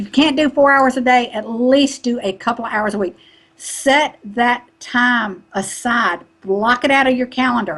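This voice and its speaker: Speaking with a Southern US accent, a woman uses a high pitch with ordinary variation at a moderate pace. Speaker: online marketing business coach. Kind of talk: interview.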